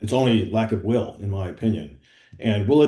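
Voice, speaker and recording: This man's tone is dark and mellow. There is a somewhat breathy quality to it. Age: 70s. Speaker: health tech startup founder. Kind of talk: business meeting discussion.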